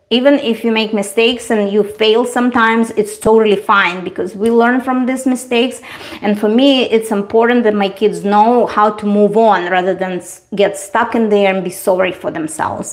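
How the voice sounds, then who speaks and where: Someone with a Russian accent speaks at a moderate pace with hardly any pauses. The intonation is fairly even, and there is noticeable background noise. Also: woman, fairly high pitch for a woman. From Eastern Europe. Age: 40s. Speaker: beauty livestreamer. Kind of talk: casual livestream chat.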